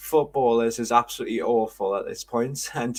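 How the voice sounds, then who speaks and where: This is a man speaking. He talks with a Geordie accent. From northern England, Newcastle. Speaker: football podcast co-host. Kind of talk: casual chat. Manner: halting.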